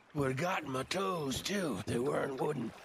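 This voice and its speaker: Raspy, fairly high put-on character voice from a man at a fairly quick pace. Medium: video game. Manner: gruff, wry.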